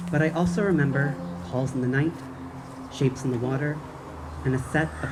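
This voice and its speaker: The speech moves at a moderate pace. Music can be heard in the background. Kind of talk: first-person narration of a spooky short story. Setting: outdoors.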